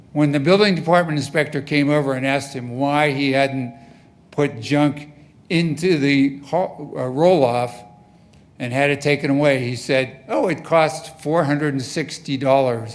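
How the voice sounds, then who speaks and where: A man speaks at a fairly high pitch with ordinary pitch variation and a moderate pace. The room echo is audible. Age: 70s. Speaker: resident speaking at public comment. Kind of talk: public comment at council meeting. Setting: city council meeting. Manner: emphatic.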